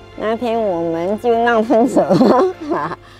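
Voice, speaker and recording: A fairly high-pitched woman's voice, very slow and lively in intonation, with music in the background. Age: 70s. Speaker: Chinese medicine practitioner. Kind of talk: interview answer.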